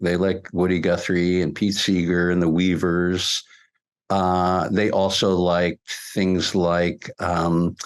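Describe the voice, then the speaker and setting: With an American accent, a man speaks in a very deep, low pitch at a very slow pace. His intonation is monotone and flat, and his loudness stays very even. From New Jersey, US. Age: 70s. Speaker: musician. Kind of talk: interview.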